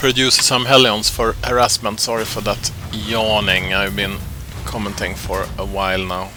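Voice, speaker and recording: Over music in the background, a man talks in a fairly low pitch with a Swedish accent. His pitch varies in an ordinary way, and his pace is moderate. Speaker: game commentator.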